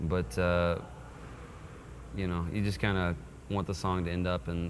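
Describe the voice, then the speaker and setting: In an American accent, a man with a very deep, low pitch speaks at a moderate pace amid audible room echo. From Texas. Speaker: singer-songwriter. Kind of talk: interview.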